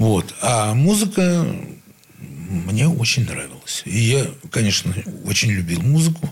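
A man's very slow speech with very wide pitch swings and long, frequent pauses, over noticeable background noise. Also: medium pitch for a man. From Leningrad, Russia. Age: old. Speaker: saxophonist. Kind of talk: interview reminiscence.

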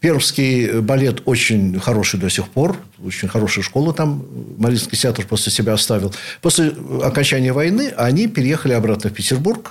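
With a plain, everyday voice, a man speaks at a moderate pace and medium pitch, keeping his loudness very even while his intonation stays lively. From Leningrad / St Petersburg, Russia. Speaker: rock keyboardist, composer and professor. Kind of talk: radio interview, reminiscing.

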